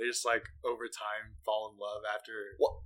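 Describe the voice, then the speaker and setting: A man's voice, bright and sharp in tone, with ordinary pitch variation. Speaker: podcast host. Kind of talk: casual chat. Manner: casual, filler-heavy.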